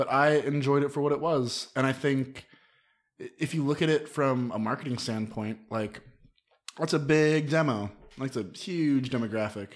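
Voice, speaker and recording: A man with a fairly high voice speaks at a moderate pace with ordinary pitch variation, in an unremarkable speaking voice. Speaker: podcast guest. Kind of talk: casual chat. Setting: studio.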